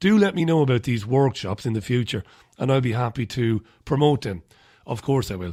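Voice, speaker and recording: Talking fairly quickly with an Irish accent, a man has a medium pitch and a dark, mellow tone. His pitch varies in an ordinary way. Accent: Irish brogue. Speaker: radio host. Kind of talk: radio show, casual newspaper review. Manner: loud.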